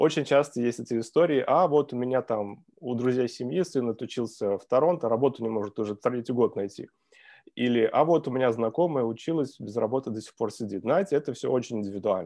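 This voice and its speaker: A man's medium-pitched voice with a dark, mellow tone, ordinary pitch variation and a fairly quick pace, over a quiet background. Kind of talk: webinar presentation. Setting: video call.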